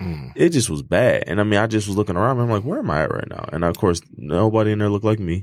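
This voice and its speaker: A man speaks very fast in an American accent, with hardly any pauses and lively intonation. His pitch is fairly low, and the recording is very clean with a silent background. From Detroit, Michigan. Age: 20s. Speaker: food business owner. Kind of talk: casual interview.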